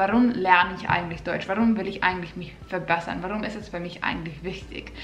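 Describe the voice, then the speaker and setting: A woman speaks with fairly even intonation. The room echo is audible. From Finland. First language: Finnish (speaking German). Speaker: vlogger. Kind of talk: casual vlog tips. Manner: slightly halting. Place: home room.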